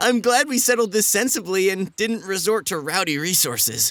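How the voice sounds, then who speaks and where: A cartoonish character voice from a man, high-pitched and at a moderate pace. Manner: hesitant, polite.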